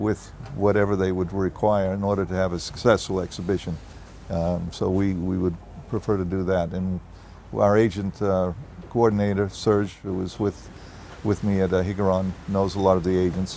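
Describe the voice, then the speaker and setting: A man with a Boston accent speaks at a moderate pace in a flat monotone, his pitch very deep and low. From US Northeast, Boston. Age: 70s. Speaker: property developer executive. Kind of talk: interview.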